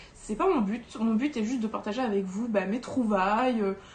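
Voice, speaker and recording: Noticeable background noise sits behind a woman with a fairly high pitch. She speaks at a moderate pace with ordinary pitch variation. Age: 20s. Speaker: doll collector YouTuber. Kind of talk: casual vlog monologue. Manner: hesitant, many fillers.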